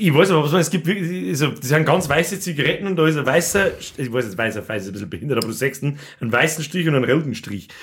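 Delivered at a very fast pace with hardly any pauses, the voice carries vocal fry and lively intonation. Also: man, fairly high pitch for a man. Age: 30s. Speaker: podcast host. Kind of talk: casual chat.

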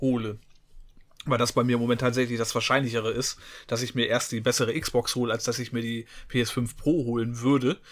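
A man speaks at a moderate pace in an ordinary speaking voice of medium pitch, recorded very cleanly over a silent background. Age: 40s. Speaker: gaming podcast co-host. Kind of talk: casual chat.

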